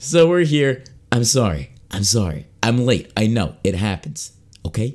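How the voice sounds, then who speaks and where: A man talks at a fairly slow pace in a medium pitch, with very wide pitch swings. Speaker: gaming streamer. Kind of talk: live stream chat. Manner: animated.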